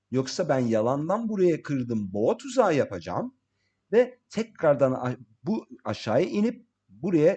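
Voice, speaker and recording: A man with a slight non-native accent speaks fairly slowly. His tone is dark and mellow, with very wide pitch swings. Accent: slight non-native Turkish. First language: English (speaking Turkish). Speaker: crypto market analyst. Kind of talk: tutorial. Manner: halting.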